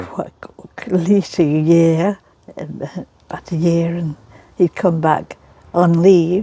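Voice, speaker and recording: A woman's fairly low voice in a monotone, flat intonation, at a very slow pace with long, frequent pauses and noticeable background noise. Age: 80s+. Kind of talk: interview answer.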